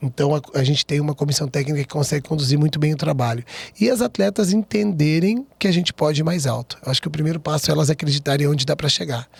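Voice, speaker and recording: A man with a fairly high, somewhat breathy voice talks very fast with hardly any pauses, very even loudness and ordinary pitch variation, in a dry, close sound with no echo. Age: young. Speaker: volleyball coach. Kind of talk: interview.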